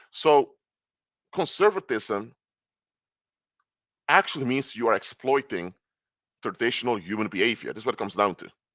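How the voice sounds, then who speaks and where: Speaking at a moderate pace with a non-native accent, a man uses lively intonation and a medium pitch, with long, frequent pauses, big swings in loudness, and a dry, close sound with no echo against a quiet background. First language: not English. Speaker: political commentator and consultant. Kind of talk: live stream lecture. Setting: live stream. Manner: halting, with false starts.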